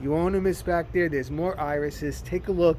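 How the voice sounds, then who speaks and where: Here a man talks with a New Jersey accent. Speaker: gardening vlogger. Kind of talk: casual garden tour vlog. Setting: outdoors in garden. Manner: casual, halting with fillers.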